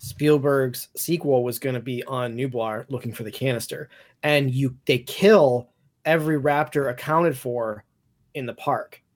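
In a very clean recording with a silent background, a man with an unremarkable speaking voice talks at a fairly slow pace and medium pitch, with ordinary pitch variation. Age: 30s. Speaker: podcast co-anchor, franchise fan. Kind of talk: casual chat.

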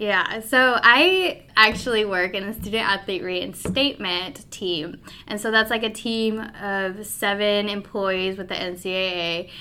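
With an American accent, a woman talks at a fairly slow pace. Her tone is bright and sharp, her pitch medium, and her intonation fairly even. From Colorado, US (Pueblo). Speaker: postgraduate intern at a sports governing body. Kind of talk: casual interview.

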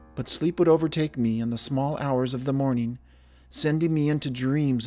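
A plain reading aloud with ordinary pitch variation.

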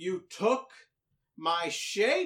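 A put-on character voice sounds female and shrill. It is shouting. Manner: screaming, enraged.

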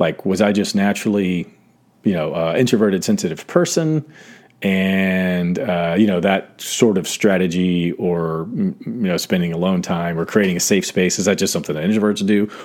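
With an American accent, a man with a very deep, low voice speaks at a moderate pace with ordinary pitch variation. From US South (south Georgia), then northern Ohio from 13. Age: 40s. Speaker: podcast host. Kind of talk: solo reflective monologue. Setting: home studio. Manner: casual, many fillers.

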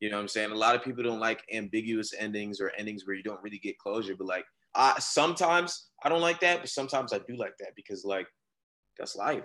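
Man with an American accent, a bright, sharp tone, medium pitch, lively intonation, and a fairly quick pace against a quiet background. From Florida. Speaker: rapper and producer. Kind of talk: casual chat.

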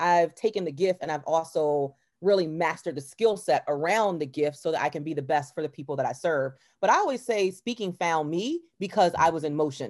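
An unremarkable speaking voice from a woman with an American accent, fairly low in pitch, with ordinary pitch variation and a fairly quick pace, on a very clean recording with a silent background. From Baltimore, US. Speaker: motivational speaker and author. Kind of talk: interview.

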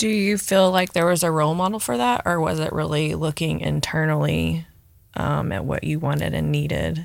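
A woman speaks at a moderate pace with a Southern US accent. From Memphis, Tennessee, US South. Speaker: guest interviewer, community volunteer. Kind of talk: casual interview, asking questions.

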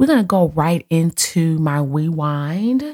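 Very slowly, a woman with a fairly low pitch and a dark, mellow tone speaks with lively intonation. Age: 30s. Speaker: podcast host and hairstylist. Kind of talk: casual solo podcast monologue. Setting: home office. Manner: animated.

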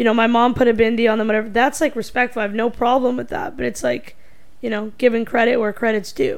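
Very fast, animated speech from a woman with a fairly high pitch. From North America. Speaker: podcast host. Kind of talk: casual chat.

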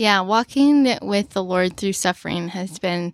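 With an American accent, a woman uses an ordinary speaking voice at a medium pitch and a fairly slow pace. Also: very clean recording, silent background. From US Midwest, Omaha, Nebraska. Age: 20s. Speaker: podcast guest. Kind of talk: casual chat.

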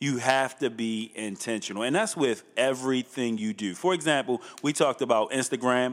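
A man speaks at a moderate pace in a medium pitch. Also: ordinary pitch variation, hardly any pauses. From Baltimore, Maryland (Northeast Baltimore). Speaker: church executive. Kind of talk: casual interview.

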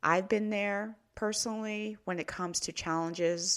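The recording is very clean, and the background is silent. A woman talks at a moderate pace. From Canada. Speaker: podcast host and author. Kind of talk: motivational monologue.

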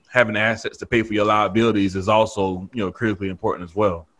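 With a Southern US accent, a man talks at a very fast pace in a fairly low pitch, his intonation fairly even. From North Carolina. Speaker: former football player and real estate broker. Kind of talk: casual interview. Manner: laid-back, laughs often.

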